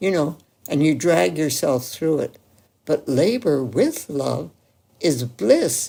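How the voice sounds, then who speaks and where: Very slowly, a woman with a dark, mellow tone and vocal fry speaks, her pitch swinging very widely. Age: 80s+. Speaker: medical doctor. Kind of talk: interview answer.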